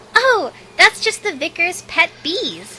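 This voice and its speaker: A put-on character voice, female-sounding and squeaky at an extremely high pitch, moves at a fairly slow pace. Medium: fan dub.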